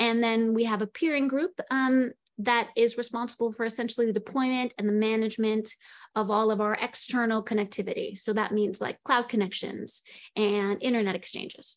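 Over a quiet background, a woman with a fairly high voice talks at a fairly quick clip, keeping her intonation fairly even. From Seattle, US. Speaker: network engineering lead. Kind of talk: panel presentation. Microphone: video call.

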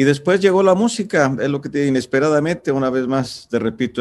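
Speaking at a fairly quick pace, a man with a Mexican accent uses lively intonation. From Michoacán, Mexico. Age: 60s. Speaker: singer-songwriter. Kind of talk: interview answer. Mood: warm, reflective, nostalgic. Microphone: video call.

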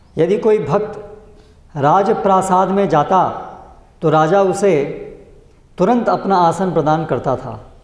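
A man talks very slowly at a high pitch, with ordinary pitch variation. Room echo is audible. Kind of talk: reading scripture commentary aloud. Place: church.

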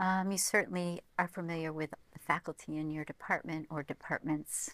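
In an American accent, a woman with a fairly low pitch speaks at a moderate pace, the sound dry with no echo. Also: quiet background. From American, from Vermont. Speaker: university provost and civil engineering academic. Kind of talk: interview answer. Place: studio. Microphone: lapel.

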